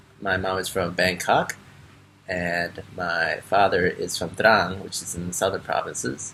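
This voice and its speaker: A man with an American accent speaks in a very deep, low pitch. His intonation is monotone and flat, and his pace is fairly slow. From Chicago area, US Midwest. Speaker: Peace Corps volunteer teacher. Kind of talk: personal testimony interview. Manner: hesitant, many fillers.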